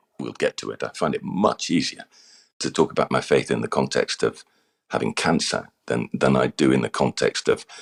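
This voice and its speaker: Here a man talks in an RP accent at a moderate pace. The sound is dry and close, with no echo. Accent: English (RP-like). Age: 60s. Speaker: former actor and communications coach. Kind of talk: interview. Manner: halting, repeats words.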